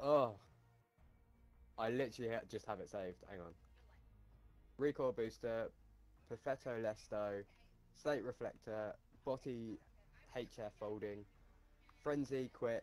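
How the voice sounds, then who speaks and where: Pausing long and often, a man speaks fairly slowly at medium pitch with fairly even intonation. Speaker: gamer. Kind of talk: casual chat.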